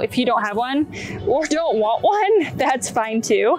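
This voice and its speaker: A woman speaks at a high pitch. Clear music plays in the background, and the sound is dry with no echo. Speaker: fitness instructor. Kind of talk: tutorial. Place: garden.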